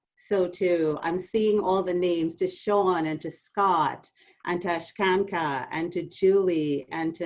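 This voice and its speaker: A Trinidadian accent, fairly even intonation and a fairly slow pace. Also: woman. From Trinidad and Tobago. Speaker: university administrator. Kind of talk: orientation talk.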